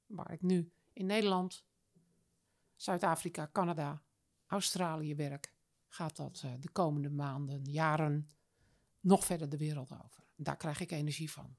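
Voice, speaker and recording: Her pitch very deep and low, a woman speaks at a fairly slow pace with big swings in loudness and long, frequent pauses. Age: 60s. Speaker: business coach. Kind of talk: interview. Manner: animated.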